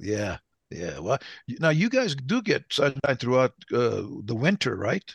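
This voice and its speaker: Dry and close with no echo, a man's fairly high voice moves slowly with very wide pitch swings, vocal fry, and long, frequent pauses. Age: old. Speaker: podcast host, retired military leader. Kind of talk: casual chat.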